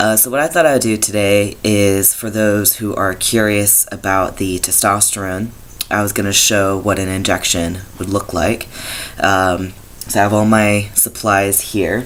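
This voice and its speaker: A man speaking at a fairly slow pace with fairly even intonation, noticeable background noise behind him. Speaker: vlogger documenting gender transition. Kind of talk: video diary and tutorial. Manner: hesitant, many filler words.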